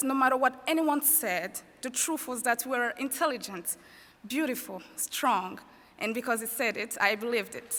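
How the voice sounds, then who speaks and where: A woman speaks with a French accent in a high, bright, sharp voice. Her pitch varies in an ordinary way, and her pace is moderate. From Rwanda. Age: 20s. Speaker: student commencement speaker. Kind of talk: commencement speech. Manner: formal.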